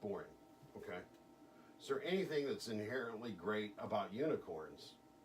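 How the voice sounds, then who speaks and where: Amid audible room echo, a man speaks with very wide pitch swings. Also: medium pitch for a man. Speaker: hypnotist. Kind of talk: hypnosis session with a client. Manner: fast.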